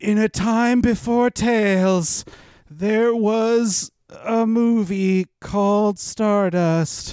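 This is a put-on character voice, breathy and fairly high in pitch. The pace is very slow. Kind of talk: dramatic trailer voice.

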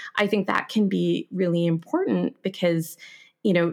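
A plain, everyday voice from a woman, fairly low-pitched at a moderate pace, on a very clean recording with a silent background. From Canada. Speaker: podcast host and French teacher. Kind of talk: interview conversation.

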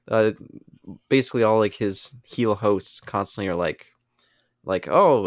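At a moderate pace, an unremarkable speaking voice comes through on a very clean recording with a silent background. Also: man. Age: 20s. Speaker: podcast co-host. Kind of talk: casual chat.

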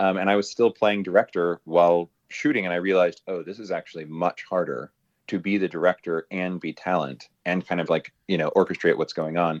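A man with an American accent, very deep, low pitch, fairly even intonation and a fairly quick pace, in a dry, close sound with no echo over a quiet background. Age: 40s. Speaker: adult film producer and performer. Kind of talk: casual interview. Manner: halting, many fillers.

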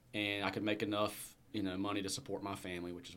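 Very fast speech with a Southern US accent. The intonation stays monotone and flat. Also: man. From Alabama. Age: 30s. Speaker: entrepreneur. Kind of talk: interview. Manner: casual.

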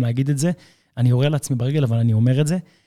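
In a very clean recording with a silent background and a dry, close sound with no echo, a man speaks in a dark, mellow tone with ordinary pitch variation. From Israel. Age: 30s. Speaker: fitness trainer. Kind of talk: casual chat.

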